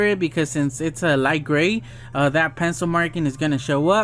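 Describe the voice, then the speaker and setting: Talking at a fairly quick pace, a man uses an unremarkable speaking voice with a fairly high pitch. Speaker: drawing tutorial youtuber. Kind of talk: drawing tutorial narration. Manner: casual, many fillers.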